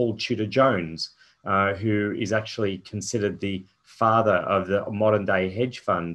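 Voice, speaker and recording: Speaking with an Australian accent, a man talks at a fairly slow pace in a fairly low pitch with monotone, flat intonation. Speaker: company founder and chairman. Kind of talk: investor presentation. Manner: halting, many fillers.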